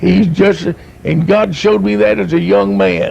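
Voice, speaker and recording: A man with an East Tennessee accent speaks at a fairly slow pace with very wide pitch swings. Noticeable background noise runs under his voice. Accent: East Tennessee Southern American. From US South, East Tennessee (Knoxville area). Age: 60s. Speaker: evangelist. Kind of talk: testimony. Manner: animated.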